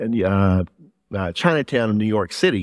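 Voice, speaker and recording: A man with a Southern US accent at a moderate pace, dry and close with no echo against a quiet background. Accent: Southern US, noticeable. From Louisiana, US South. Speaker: pastor. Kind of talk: sermon. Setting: church with congregation.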